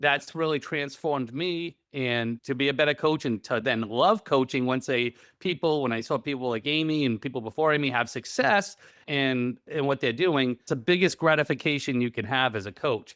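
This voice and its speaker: With a slight Rhode Island accent, a man talks at a moderate pace and a fairly high pitch, with ordinary pitch variation and hardly any pauses. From Rhode Island, New England. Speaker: real estate coach and investor. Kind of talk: interview conversation.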